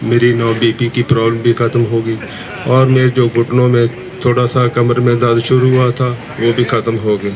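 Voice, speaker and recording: A man of medium pitch talks at a moderate pace in monotone, flat intonation. Noticeable background noise runs underneath. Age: 70s. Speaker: yoga class participant. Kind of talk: testimony.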